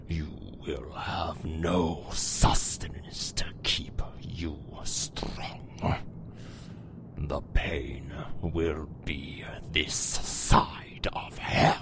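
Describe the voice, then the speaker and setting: In a put-on character voice, the speaker goes at a very slow pace with long, frequent pauses over loud background noise. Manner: menacing, cold.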